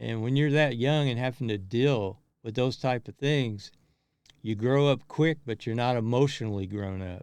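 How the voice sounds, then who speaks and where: A man speaks with a Kentucky accent at a moderate pace. The background is quiet. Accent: Southern US (Kentucky). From US South, rural Kentucky. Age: 60s. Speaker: motivational vlogger. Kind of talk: personal monologue. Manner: halting.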